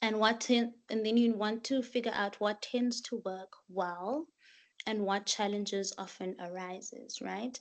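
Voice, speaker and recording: A woman talks in a normal speaking voice at a fairly high pitch. Her pace is fairly slow, her intonation fairly even, and the background quiet. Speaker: master's student. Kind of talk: workshop presentation.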